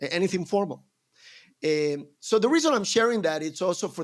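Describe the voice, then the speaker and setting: A man with a Spanish accent speaks at a high pitch and a moderate pace, with ordinary pitch variation. The recording is very clean, with a silent background. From Colombia. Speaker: entrepreneur. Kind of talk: podcast interview.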